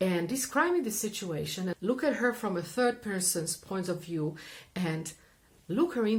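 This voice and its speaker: In a somewhat breathy, medium-pitched voice, a woman speaks at a moderate pace with lively intonation. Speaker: therapist and coach. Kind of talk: explanatory talk to camera.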